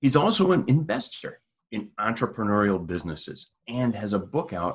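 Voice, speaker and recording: Lively intonation at a moderate pace, in a Minnesota accent. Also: man. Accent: Midwestern Minnesota. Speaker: podcast host. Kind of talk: interview.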